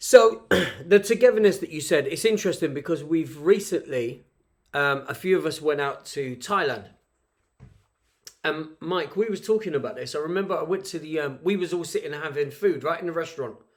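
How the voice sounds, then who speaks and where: A high-pitched man with a London accent at a fairly quick pace. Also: ordinary pitch variation. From South London. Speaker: podcast host. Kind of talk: casual chat.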